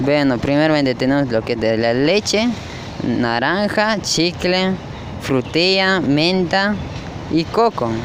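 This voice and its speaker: Against noticeable background noise, a man speaks very slowly at a fairly high pitch, with very wide pitch swings but very even loudness. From Cochabamba, Bolivia. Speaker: street vendor. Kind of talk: street interview. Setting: outdoors, city plaza.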